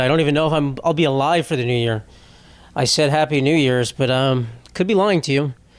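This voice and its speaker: With an ordinary speaking voice, a man talks at a fairly quick pace, fairly high in pitch with ordinary variation. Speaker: comedian. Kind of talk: casual podcast talk.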